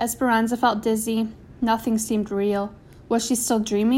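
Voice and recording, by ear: Reading aloud in a natural voice, nothing more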